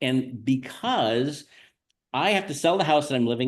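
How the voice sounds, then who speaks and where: Over a quiet background, a man of medium pitch talks at a moderate pace. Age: 60s. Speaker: real estate agent and podcast host. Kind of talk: podcast conversation.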